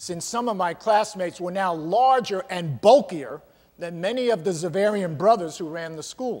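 The clip features words read aloud in a natural voice.

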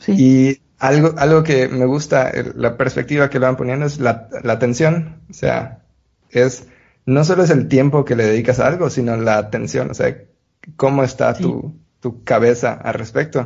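A man with a medium pitch uses an ordinary speaking voice, talking at a moderate pace with ordinary pitch variation. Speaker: podcast host and producer. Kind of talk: casual chat.

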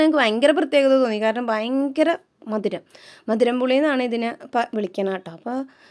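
An ordinary speaking voice from a woman, fairly high in pitch, on a very clean recording with a silent background. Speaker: vlogger. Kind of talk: casual vlog talk to camera. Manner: chatty.

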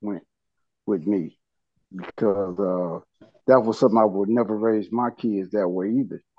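In a dry recording with no echo and a quiet background, a man with a fairly low voice speaks at a moderate pace with ordinary pitch variation. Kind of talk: support group sharing. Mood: reflective, earnest. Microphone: video call.

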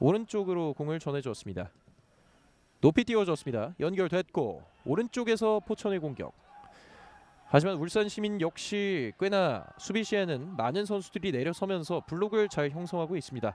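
In a dry, close sound with no echo, a man speaks in a high-pitched voice with lively intonation. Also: moderate pace. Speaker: football play-by-play caster. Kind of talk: live commentary. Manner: formal.

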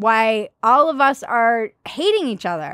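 Against a quiet background, a woman speaks fairly slowly in an animated tone, the sound dry with no echo. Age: 40s. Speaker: comedian and show host; comedian, show host. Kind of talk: comedic news commentary. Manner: animated, frequent laughter. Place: garage. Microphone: studio mic.

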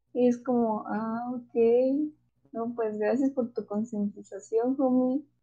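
A woman's high-pitched voice with a dark, mellow tone, fairly even intonation and a very slow pace. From Mexico. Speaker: podcast co-host. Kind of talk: casual chat.

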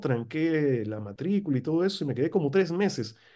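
Against a quiet background, a man talks at a fairly quick pace in a dark, mellow tone with very wide pitch swings. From Peru, Lima; Peru. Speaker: political scientist and professor; interview guest. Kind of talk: interview; interview answer. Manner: halting, with many fillers. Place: home room. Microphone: video call.

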